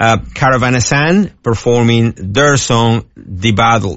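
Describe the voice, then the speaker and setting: A man speaks very slowly at a medium pitch, with ordinary variation in his pitch. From Argentina. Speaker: radio DJ. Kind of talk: radio DJ patter: weather report, song back-announcements, show plugs. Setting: radio studio. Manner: halting, stumbling, repeats words and fillers (uh, um).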